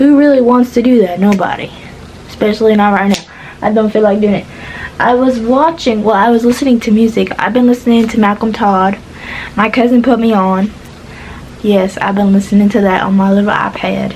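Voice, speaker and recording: A woman at a fairly high pitch and fairly quick pace, with very even loudness and fairly even intonation, over noticeable background noise. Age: 20s. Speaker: vlogger. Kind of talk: casual chat. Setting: in bed.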